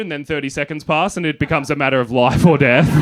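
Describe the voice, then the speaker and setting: Noticeable background noise beneath a man's very fast delivery. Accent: Australian. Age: 30s. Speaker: stand-up comedian. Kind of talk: stand-up. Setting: stage with audience.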